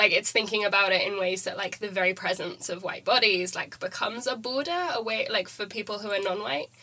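A woman with a British accent and ordinary pitch variation, over noticeable background noise. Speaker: student podcaster. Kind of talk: casual academic discussion.

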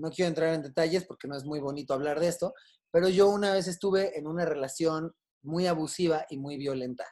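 Here a man talks in a plain, everyday voice at a moderate pace. His pitch is fairly high, with ordinary pitch variation. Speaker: comedian and television writer. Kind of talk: casual chat.

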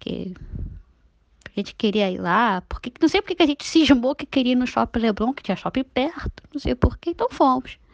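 Over a quiet background, a woman speaks at a high pitch and a moderate pace, her pitch swinging very widely in a dry, close sound with no echo. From Rio de Janeiro state, Niterói. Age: 30s. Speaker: listener sharing a story. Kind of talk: personal anecdote, recorded voice message.

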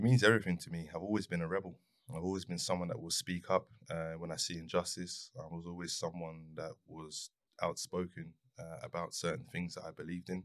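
Someone with a South London accent talks at a fairly quick pace. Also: man, very deep, low pitch for a man. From South East London. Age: 40s. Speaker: mentoring organisation founder. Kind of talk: interview.

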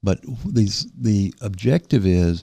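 In a Southern US accent, a man talks with a very deep, low pitch and ordinary pitch variation. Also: dry, close sound with no echo. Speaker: local distinguished citizen and volunteer. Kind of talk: casual radio interview. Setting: studio.

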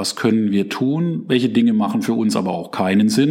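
A man with a plain, everyday voice, moderate pace and ordinary pitch variation. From Germany, Palatinate. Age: 40s. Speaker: chief digital officer. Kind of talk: interview.

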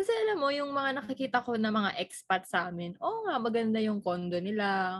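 A woman talks at a fairly quick pace. She has a normal speaking voice. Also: fairly high pitch for a woman, lively intonation. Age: 20s. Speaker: podcast co-host. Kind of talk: casual chat.

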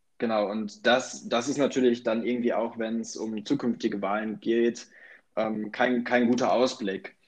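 An ordinary speaking voice from a man, medium in pitch with fairly even intonation, at a moderate pace over a quiet background. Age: 20s. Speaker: student podcast co-host. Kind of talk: casual political discussion. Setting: remote recording.

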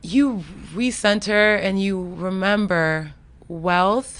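With ordinary pitch variation, a woman talks at a medium pitch. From Florida. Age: 30s. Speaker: creative entrepreneur. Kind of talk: casual chat.

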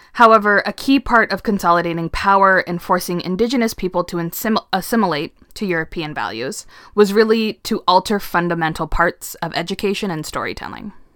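A woman's ordinary speaking voice at a medium pitch, fairly quick, with ordinary pitch variation, a dry, close sound with no echo, and a very clean recording with a silent background. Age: 20s. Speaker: podcast co-host. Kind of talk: casual chat with storytelling.

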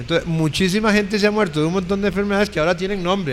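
A man with a high pitch that varies in an ordinary way talks at a very fast pace. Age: 60s. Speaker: panelist, commentator. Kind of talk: panel discussion.

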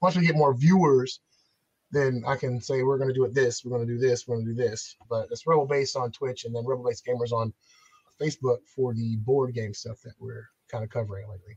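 In a normal speaking voice, a man talks at a fairly quick pace in a medium pitch with ordinary pitch variation and big swings in loudness, recorded with a dry, close sound with no echo. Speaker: gaming store owner. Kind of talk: casual interview chat.

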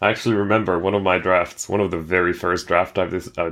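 A man speaks fairly quickly in a very deep, low pitch with fairly even intonation. The recording is very clean, with a silent background. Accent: Finnish. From Finland. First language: Finnish. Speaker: game streamer. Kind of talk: casual chat.

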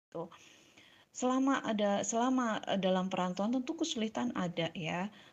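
Lively intonation marks a woman's somewhat breathy speech, delivered at a moderate pace. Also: fairly high pitch for a woman. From Central Java, Purwokerto. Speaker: interviewee sharing life story. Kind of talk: personal storytelling. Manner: halting, many fillers.

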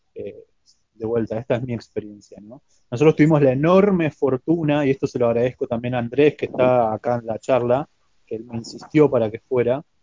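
A man with an unremarkable speaking voice talks at a moderate pace. His medium pitch shows ordinary pitch variation. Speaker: martial arts practitioner. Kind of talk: casual chat.

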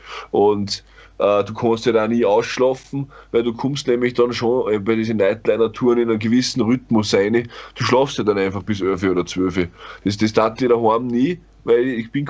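Using an unremarkable speaking voice, a man talks at a moderate pace with a medium pitch and fairly even intonation. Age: 30s. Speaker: metal band vocalist. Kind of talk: casual chat.

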